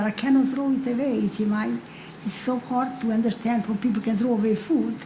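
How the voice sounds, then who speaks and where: A woman at a very fast pace, fairly high in pitch with fairly even intonation, amid noticeable background noise. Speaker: Holocaust survivor panelist. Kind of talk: panel testimony. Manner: halting.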